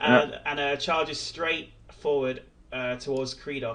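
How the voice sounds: A natural reading voice carries the clip.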